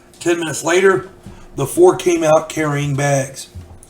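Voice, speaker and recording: Noticeable background noise sits behind this voice. A man speaks at a fairly high pitch with fairly even intonation. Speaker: YouTuber and author telling gaming stories. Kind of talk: casual storytelling.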